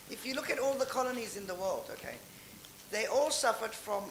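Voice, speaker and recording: The speaker talks at a fairly quick pace with fairly even intonation. Noticeable background noise runs underneath. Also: woman. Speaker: audience member. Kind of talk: audience comment at panel.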